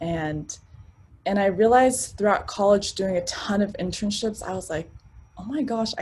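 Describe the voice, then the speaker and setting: The woman's voice is somewhat breathy. She speaks at a medium pitch. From Arlington, Virginia, US (immigrated as a child). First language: not English (immigrant family). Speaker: sales professional. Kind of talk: interview.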